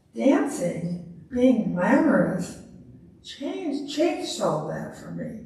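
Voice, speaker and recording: Very slowly and with very wide pitch swings, a woman talks amid noticeable background noise and audible room echo. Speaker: retired woman giving a talk on ballroom dancing. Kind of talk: presentation with Q&A.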